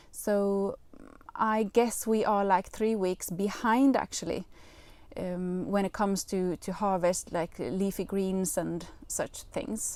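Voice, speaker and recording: A woman with a medium pitch talks very slowly, her intonation fairly even. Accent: Swedish. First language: Swedish. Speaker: gardening youtuber. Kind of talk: live video talk. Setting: outdoors in polytunnel. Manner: hesitant, many fillers.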